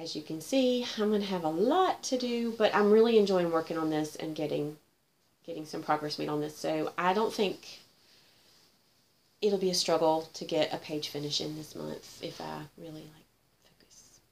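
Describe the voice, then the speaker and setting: A woman with an unremarkable speaking voice talks at a moderate pace and a fairly low pitch. Her pitch varies in an ordinary way while her loudness swings widely. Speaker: cross-stitch vlogger. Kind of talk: casual chat.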